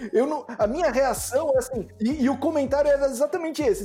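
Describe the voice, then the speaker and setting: A man with a São Paulo accent at an extremely high pitch, talking at a fairly quick pace with very wide pitch swings over noticeable background noise. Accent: São Paulo (Mooca). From São Paulo, Mooca. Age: 40s. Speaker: software developer. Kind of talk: casual chat. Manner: halting.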